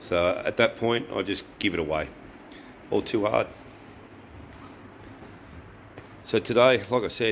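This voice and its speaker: At a moderate pace, a man speaks with a fairly low pitch and ordinary pitch variation while light background noise sits behind him. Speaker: motorbike travel vlogger. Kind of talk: casual vlog chat. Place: garage. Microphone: phone near.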